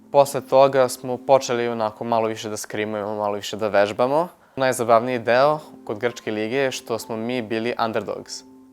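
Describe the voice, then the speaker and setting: A man speaks in a normal speaking voice. His intonation stays fairly even at a moderate pace. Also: medium pitch for a man. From Serbia, Novi Sad. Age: 20s. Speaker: esports player. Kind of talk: interview testimony. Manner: casual, with fillers.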